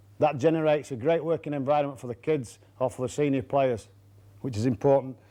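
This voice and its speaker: A man's fairly high, dark, mellow voice at a very fast pace, with ordinary pitch variation and a quiet background. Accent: Yorkshire. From Yorkshire, England. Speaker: rugby coach. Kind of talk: coaching lecture.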